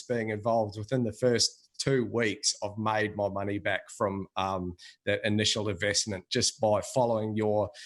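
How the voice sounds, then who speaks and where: With an Australian accent, a man speaks at a medium pitch in a monotone, flat intonation against a quiet background. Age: 40s. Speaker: customer giving testimonial. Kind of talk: testimony.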